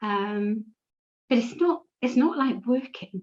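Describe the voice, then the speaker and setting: Intonation runs lively in this woman's speech. She talks with a British accent. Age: 60s. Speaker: patient sharing her experience. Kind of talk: personal testimony.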